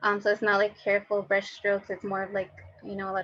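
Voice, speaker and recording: Speaking in a Spanish accent, a woman holds a medium pitch. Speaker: painter, artist. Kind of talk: panel discussion. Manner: halting, many filler words.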